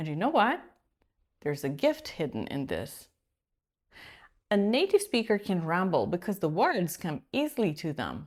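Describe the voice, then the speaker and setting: A woman with a medium-pitched voice and vocal fry speaks at a moderate pace, her pitch swinging very widely, with long, frequent pauses, on a very clean recording with a silent background. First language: Polish. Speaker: executive presence coach. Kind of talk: coaching video monologue.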